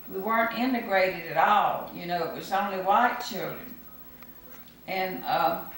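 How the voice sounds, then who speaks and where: A woman with a Mississippi accent, medium pitch, ordinary pitch variation and a moderate pace, big swings in loudness, plus noticeable background noise and audible room echo. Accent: Southern US (Mississippi). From US South, Mississippi Gulf Coast. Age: 80s+. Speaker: grandmother interviewed for school project. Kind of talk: oral history interview.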